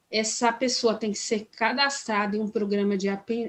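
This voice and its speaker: A woman speaks with fairly even intonation. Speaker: labor law trainer. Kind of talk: training workshop lecture. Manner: halting, many fillers and restarts.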